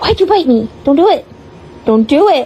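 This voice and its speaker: In a put-on character voice of extremely high pitch, the speaker swings very widely in pitch at a moderate pace. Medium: voice reel.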